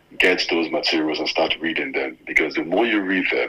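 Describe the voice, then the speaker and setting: A man speaks over noticeable background noise. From Nigeria. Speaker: former scholarship student and journalist. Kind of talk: casual interview.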